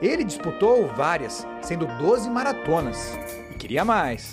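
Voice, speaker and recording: Moderate-paced speech over background music. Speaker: TV news reporter. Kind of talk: TV news report narration.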